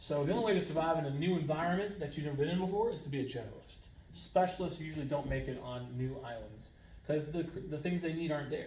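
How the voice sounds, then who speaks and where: Talking at a very fast pace, a man has a fairly high pitch with ordinary pitch variation. Room echo is audible, along with noticeable background noise. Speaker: high school science teacher. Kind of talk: lecture. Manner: casual.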